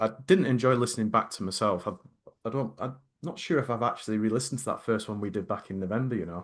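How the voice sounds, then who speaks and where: A man at medium pitch, very fast with lively intonation, against a quiet background. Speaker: podcast co-host. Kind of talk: casual chat.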